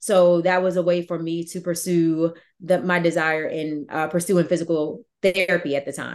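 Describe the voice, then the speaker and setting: With an American accent, the speaker delivers lines at a moderate pace, with hardly any pauses. The intonation is monotone and flat. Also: woman, fairly low pitch for a woman. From Virginia. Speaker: author and army veteran. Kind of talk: interview.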